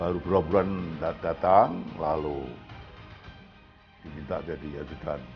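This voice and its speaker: A man talks with music playing in the background. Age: 80s+. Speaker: retired police general. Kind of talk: interview answer. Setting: at home.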